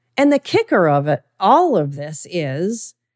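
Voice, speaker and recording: A woman speaks very slowly in a Midwestern American accent, with a dry, close sound and no echo. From US Midwest. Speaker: diabetes lifestyle coach. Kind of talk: solo podcast monologue.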